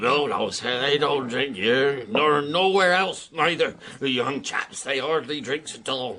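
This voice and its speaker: Using a put-on character voice, a man speaks fairly slowly at a fairly high pitch with ordinary pitch variation. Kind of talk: radio drama acting. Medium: audio drama. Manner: slow, plainspoken.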